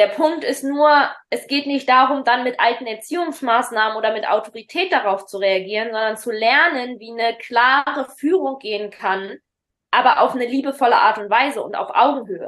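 Loudness swings widely throughout. The pace is moderate, with ordinary pitch variation. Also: woman, high pitch for a woman. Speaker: parenting podcast host and coach. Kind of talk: casual chat. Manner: halting.

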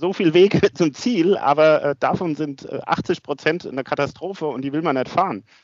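A man talks in an unremarkable speaking voice at a fairly high pitch. His pitch varies in an ordinary way. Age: 50s. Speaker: asset management executive and amateur cyclist. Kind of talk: interview. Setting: office.

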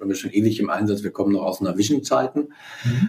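The man's voice is somewhat breathy. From East Westphalia, Germany. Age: 40s. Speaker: company CEO. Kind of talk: interview, business talk.

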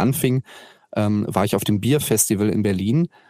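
The voice carries a dark, mellow tone with ordinary pitch variation. Its sound is dry and close, with no echo. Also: man. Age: 20s. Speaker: activist with a chronic illness. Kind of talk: interview. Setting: video call.

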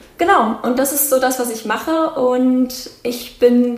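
A woman speaks at a high pitch with ordinary pitch variation. The room has audible echo and noticeable background noise. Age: 20s. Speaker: psychology graduate and mental health educator. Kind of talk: casual interview.

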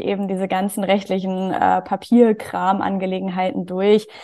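Against a quiet background, a woman of medium pitch speaks at a moderate pace, her dark, mellow tone kept flat and monotone. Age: 20s. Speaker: HR professional and community founder. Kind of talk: interview.

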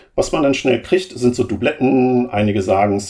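At a moderate pace, a man speaks in a dark, mellow tone that is somewhat breathy. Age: 50s. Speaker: program manager in energy grid transformation. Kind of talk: interview.

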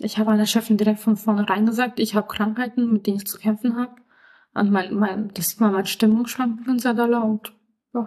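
Fairly quick and somewhat breathy, a woman with a fairly high voice speaks in a flat monotone. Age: 20s. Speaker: podcast guest living with mental illness, trainee florist. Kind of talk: interview.

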